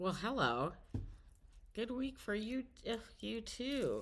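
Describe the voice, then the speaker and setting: Bright, sharp tone at a very slow pace. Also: woman. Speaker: tarot reader. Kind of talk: casual tarot reading to camera. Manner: hesitant, many filler words.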